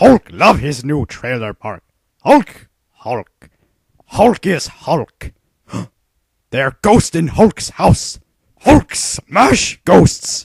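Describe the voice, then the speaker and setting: Shouting in a put-on character voice, a man with a fairly high pitch speaks at a very slow pace, with very wide pitch swings and long, frequent pauses. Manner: broken caveman speech, shouting.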